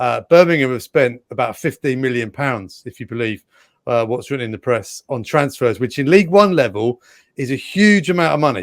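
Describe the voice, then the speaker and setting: Recorded dry and close with no echo, a man with an English accent speaks at medium pitch, a fairly quick pace and with lively intonation. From England. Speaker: sports presenter, co-host. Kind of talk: casual sports talk show.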